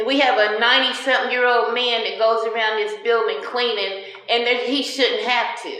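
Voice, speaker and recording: There is audible room echo and noticeable background noise. The intonation is monotone and flat. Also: woman. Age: 60s. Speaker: tenant. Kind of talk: interview.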